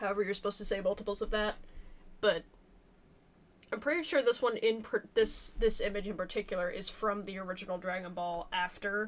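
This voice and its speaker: A woman with a medium pitch speaks quietly at a fairly quick pace, with ordinary pitch variation. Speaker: artist streaming a drawing session. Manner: halting, self-correcting.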